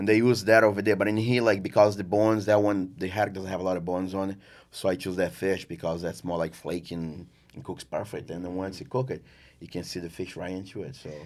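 Speaking with a Portuguese accent, the voice races at a very fast pace with fairly even intonation. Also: man, very deep, low pitch for a man. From Brazil, rural farm. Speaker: chef and restaurant owner. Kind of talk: casual interview.

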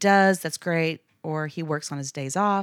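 A woman speaks in a Texan accent with a very deep, low pitch. The recording is very clean, with a silent background. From Texas (Abilene). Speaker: church member guest. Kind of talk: personal testimony. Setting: studio.

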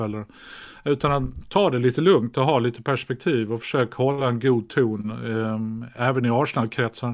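Recorded very cleanly against a silent background, a man speaks at medium pitch and a moderate pace with fairly even intonation in a plain, everyday voice. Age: 50s. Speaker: actor and comedian. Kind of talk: casual chat.

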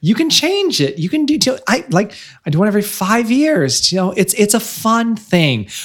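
Speaking with an American accent at a moderate pace, a high-pitched man moves through very wide pitch swings. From central Illinois (Bloomington-Normal). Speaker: author, life coach and radio host. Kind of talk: casual interview. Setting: in person in Chicago.

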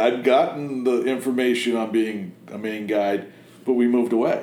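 A speaker with an American accent is heard over audible room echo. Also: man. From Massachusetts and Connecticut, US Northeast. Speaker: fly-tying vise maker, business owner. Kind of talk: casual interview chat. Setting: his production facility.

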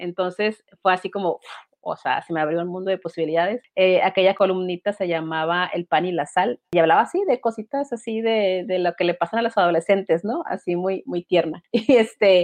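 A woman has a normal speaking voice, medium in pitch with ordinary pitch variation. She goes at a moderate pace with hardly any pauses. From Mexico, Baja California (Mexicali). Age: 40s. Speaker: writer and illustrator. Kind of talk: casual interview chat.

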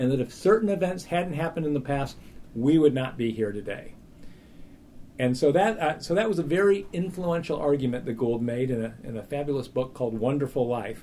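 A man talks at a fairly quick pace in a plain, everyday voice, his pitch fairly high and his intonation lively. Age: 50s. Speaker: evolutionary biology professor. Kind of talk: interview.

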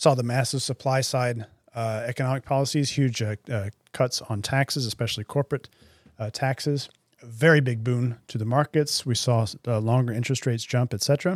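A man with an American accent at a medium pitch, fairly quick and fairly even in intonation, in a very clean recording with a silent background and a dry, close sound without echo. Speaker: former podcast host and market strategist. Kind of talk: casual analytical discussion. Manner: hesitant, filler-heavy.

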